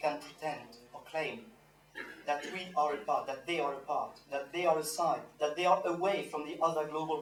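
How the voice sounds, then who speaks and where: A man with a French accent speaks at a moderate pace and fairly high pitch, with fairly even intonation. Noticeable background noise and audible room echo surround him. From France (Normandy). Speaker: activist panelist. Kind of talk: panel speech. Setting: panel with audience. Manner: halting.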